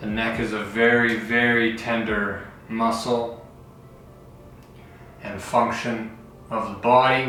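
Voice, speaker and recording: Against music in the background and audible room echo, a man speaks at medium pitch in a calm, soothing tone. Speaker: fitness instructor. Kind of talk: guided stretching tutorial. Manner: slow.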